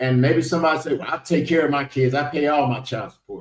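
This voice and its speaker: A man with an American accent speaks at a fairly quick pace in an ordinary speaking voice. His medium pitch shows ordinary variation. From United States. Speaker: podcast host. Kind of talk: panel discussion.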